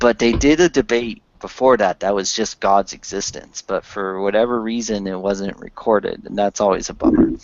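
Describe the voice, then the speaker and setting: Medium male pitch, ordinary pitch variation and hardly any pauses from a man. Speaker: online hangout host. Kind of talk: casual chat. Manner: slow.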